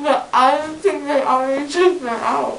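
Amid light background noise and audible room echo, a woman speaks in a high pitch at a moderate pace with ordinary pitch variation. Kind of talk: casual chat. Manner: slurred, gauze-filled mouth, confused. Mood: relaxed, smiling. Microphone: camera far.

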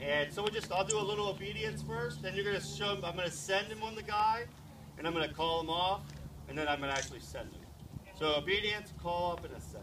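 Talking very fast, a man is heard through noticeable background noise. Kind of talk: demonstration explanation. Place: street. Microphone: camera far.

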